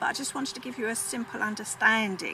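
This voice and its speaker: Noticeable background noise surrounds the recording. A woman speaks at a fairly high pitch. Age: 70s. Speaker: psychic vlogger. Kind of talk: explanatory vlog monologue. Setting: outdoors in chicken patch. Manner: halting, with frequent fillers.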